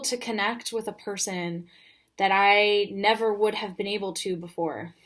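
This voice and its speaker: A woman speaks at a fairly high pitch. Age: 20s. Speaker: French teacher. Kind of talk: personal vlog monologue. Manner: hesitant, many fillers and repeats.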